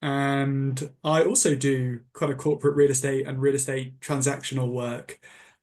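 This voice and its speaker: A man with a British accent talks at a moderate pace in a fairly high pitch. His intonation is monotone and flat. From England. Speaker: lawyer. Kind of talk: panel discussion. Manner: halting.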